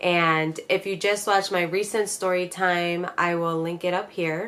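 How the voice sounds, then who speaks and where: A woman with an American accent speaks at a fairly low pitch with monotone, flat intonation. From Pittsburgh, Pennsylvania and Florida. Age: 30s. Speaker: YouTuber. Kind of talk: storytime vlog. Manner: casual, chatty.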